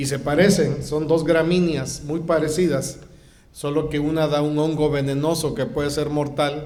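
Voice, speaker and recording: With audible room echo, a man talks at a fairly slow pace in a fairly high pitch. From Mexico. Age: 60s. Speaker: guest pastor. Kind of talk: sermon.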